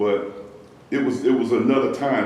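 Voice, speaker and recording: A man speaks with a South Carolina accent. The clip carries noticeable background noise and audible room echo. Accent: Southern US (South Carolina). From US South, Columbia, South Carolina. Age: 60s. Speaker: pastor's son, church member. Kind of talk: interview. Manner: halting, frequent fillers and repeats.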